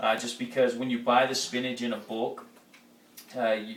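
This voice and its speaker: Noticeable background noise runs under this recording. A man talks at a fairly quick pace in a medium pitch. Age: 20s. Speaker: high school football coach. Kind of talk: casual talk to camera. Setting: home kitchen.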